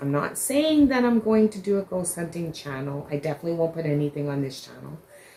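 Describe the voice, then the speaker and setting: A woman's fairly low-pitched voice with lively intonation over noticeable background noise. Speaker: crochet vlogger. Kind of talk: casual vlog chat. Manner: mumbling; halting with many fillers.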